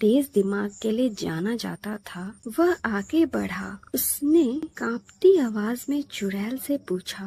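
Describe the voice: Lively intonation throughout plain reading aloud.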